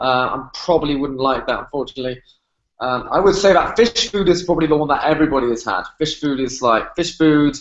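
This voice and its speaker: In a British accent, a man with a fairly high pitch talks at a very fast pace, his intonation lively. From UK. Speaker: fitness trainer. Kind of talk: podcast interview.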